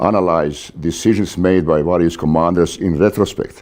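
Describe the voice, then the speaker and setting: A man speaks at a fairly quick pace. His very deep, low pitch shows ordinary variation. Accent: non-native. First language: not English. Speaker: author and naval warfare lecturer. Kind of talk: lecture. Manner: hesitant, many fillers.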